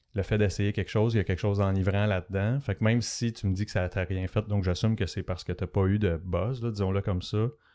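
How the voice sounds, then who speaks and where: In a Quebec accent, a man speaks very fast with hardly any pauses, his fairly low voice dark and mellow in tone. His intonation is fairly even, and the recording is very clean with a silent background. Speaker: podcast host. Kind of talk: interview. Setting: studio.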